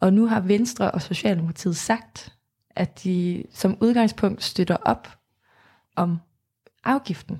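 Very slowly, a woman speaks in a somewhat breathy voice of medium pitch with a dark, mellow tone. Her pitch varies normally, and she leaves long, frequent pauses. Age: 20s. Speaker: climate activist. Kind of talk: interview. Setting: studio.

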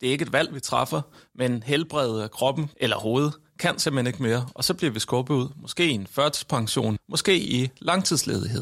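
A man talks at a moderate pace in an ordinary speaking voice, medium in pitch, with lively intonation. The recording is very clean, with a silent background. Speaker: professor, researcher. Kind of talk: discussion.

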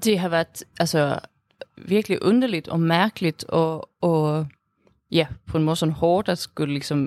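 No echo is heard, just a dry, close sound. A woman talks on a very clean recording over a silent background. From Sweden. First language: Swedish (speaking Danish). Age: 20s. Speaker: student, interviewee. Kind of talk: interview. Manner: halting, many fillers.

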